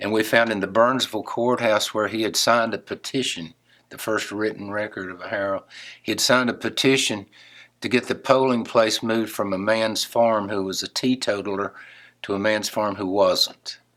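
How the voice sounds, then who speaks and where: In an Appalachian accent, a man with a fairly low pitch talks in a monotone, flat intonation, his loudness swinging widely. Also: moderate pace. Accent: Appalachian Southern US. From western North Carolina. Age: 70s. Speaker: songwriter and guitarist. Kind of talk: interview. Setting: guitar store.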